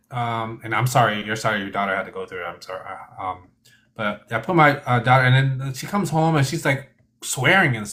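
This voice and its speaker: Speaking at a fairly quick pace, a man with an unremarkable speaking voice uses a medium pitch and lively intonation. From born in Thailand, raised in US from age one. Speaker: stream host. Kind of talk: casual chat.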